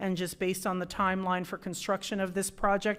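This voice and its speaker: Recorded very cleanly over a silent background, a woman talks fairly quickly at a medium pitch. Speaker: city government staff member presenting budget. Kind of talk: council meeting presentation. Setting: city council meeting. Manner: fast.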